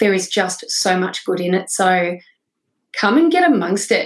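A woman of medium pitch with a rural Australian accent. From northwestern New South Wales, Australia. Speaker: founder of a sobriety non-profit. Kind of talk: interview.

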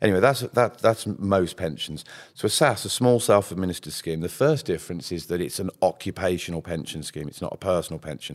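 A man with a very deep, low pitch talks in a Birmingham accent. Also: very clean recording, silent background. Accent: Brummie. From Birmingham, England. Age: 50s. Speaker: pension scheme administrator. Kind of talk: podcast interview. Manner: animated.

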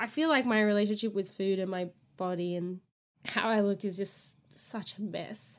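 A woman's medium-pitched voice with an American accent at a moderate pace, on a very clean recording with a silent background. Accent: Australian, slight, occasional American R's. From Australia. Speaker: podcast co-host. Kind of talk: casual chat.

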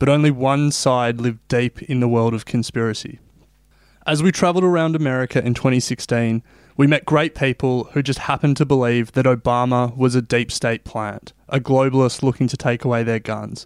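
On a very clean recording with a silent background and a dry, close sound with no echo, a man of medium pitch speaks fairly quickly with an Australian accent and fairly even intonation. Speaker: podcast host. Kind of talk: scripted narration.

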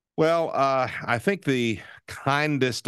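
A man's warm tone over a quiet background. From Nashville, Tennessee. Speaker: radio DJ. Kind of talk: radio interview, relaxed conversational reminiscing. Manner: warm, easygoing, hesitant with fillers.

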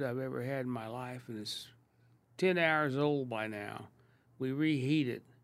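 In a very clean recording with a silent background, a man with an American accent uses an ordinary speaking voice, fairly high in pitch with ordinary pitch variation, at a moderate pace. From Kansas City, US Midwest. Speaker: restaurateur. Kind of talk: casual chat.

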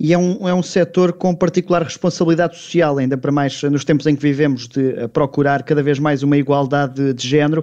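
A man speaks at a fairly quick pace with hardly any pauses. His tone is dark and mellow, and his intonation stays fairly even. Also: fairly high pitch for a man. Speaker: radio sports business host. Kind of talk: radio interview hosting.

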